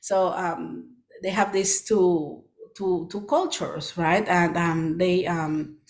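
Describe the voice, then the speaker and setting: A woman's fairly low-pitched voice at a very slow pace. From Peru, Lima. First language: Spanish. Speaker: children's book author. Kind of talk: presentation Q&A. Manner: halting with many fillers.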